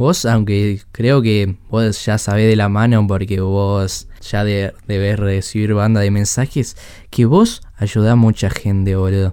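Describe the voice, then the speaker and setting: At a very slow pace with hardly any pauses, a man with a fairly low pitch and a dark, mellow tone speaks in a flat monotone. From Chile. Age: 20s. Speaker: podcast host. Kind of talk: casual chat.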